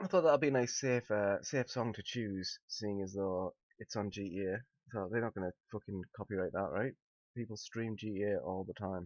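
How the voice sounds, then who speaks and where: A man with a British accent speaks at a moderate pace in a fairly low voice with ordinary pitch variation. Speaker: news commentary streamer. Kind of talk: live stream commentary. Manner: casual, rambling with hesitations.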